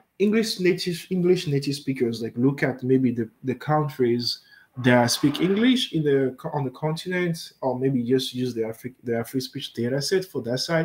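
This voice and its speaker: A man with a French accent speaks at a moderate pace in a fairly high voice, and his pitch varies in an ordinary way. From Benin. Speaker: machine learning researcher. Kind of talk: research talk with Q&A. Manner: halting, many fillers.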